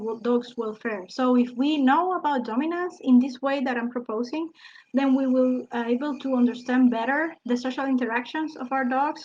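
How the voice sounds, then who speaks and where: The speaker has a non-native accent and fairly even intonation. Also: woman, quiet background. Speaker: biologist and PhD researcher. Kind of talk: online talk. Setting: live broadcast. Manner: halting.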